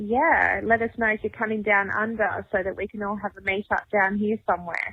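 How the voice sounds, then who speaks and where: Here a woman speaks at a medium pitch. Her intonation stays fairly even. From Western Australia. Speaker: listener leaving voicemail. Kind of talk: voicemail message. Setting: phone voicemail.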